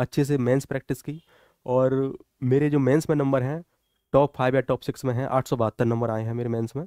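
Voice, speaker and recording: Over a quiet background, a man's dark, mellow tone comes through with fairly even intonation and a dry sound with no echo. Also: moderate pace. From Morena district, Chambal region, Madhya Pradesh, India; Madhya Pradesh. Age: 20s. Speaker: police officer, exam topper. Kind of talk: motivational talk and exam guidance. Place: studio. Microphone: headset.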